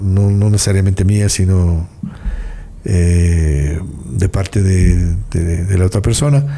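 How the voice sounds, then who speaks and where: Over noticeable background noise, a man with a fairly low voice speaks at a very slow pace. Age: 60s. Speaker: singer-songwriter. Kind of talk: interview. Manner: halting.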